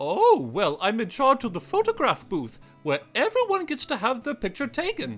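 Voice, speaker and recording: A cartoonish character voice with a fairly high pitch, spoken at a moderate pace. Faint music plays in the background. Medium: puppet. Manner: hesitant, fussy.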